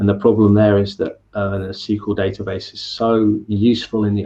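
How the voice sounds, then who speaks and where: Here a man talks at a fairly quick pace in a fairly low, monotone voice with flat intonation. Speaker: software engineer, conference speaker. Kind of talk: Q&A after a talk. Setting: online meetup video call. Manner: fast.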